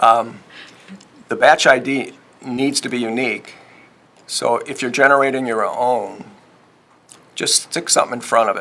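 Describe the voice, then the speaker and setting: Long pauses come often while the delivery holds a moderate pace. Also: man. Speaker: software presenter. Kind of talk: technical presentation with Q&A.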